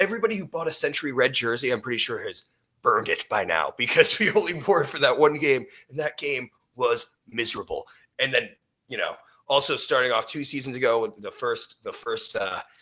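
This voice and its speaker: A man speaks loudly in a bright, sharp tone with lively intonation. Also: fairly quick pace. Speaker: sports podcast host. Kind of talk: casual sports chat. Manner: loud, high-energy.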